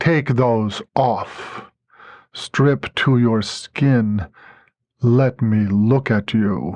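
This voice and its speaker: Against a quiet background, a man uses a put-on character voice at medium pitch and a very slow pace. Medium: read story. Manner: grave, unhurried, commanding.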